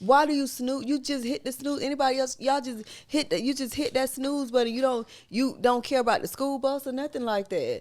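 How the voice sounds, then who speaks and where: Her tone animated, a woman with a Southern US accent speaks at a fairly quick pace in a high pitch. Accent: Southern country dialect. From US South. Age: 40s. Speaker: podcast host, mother. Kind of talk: casual chat.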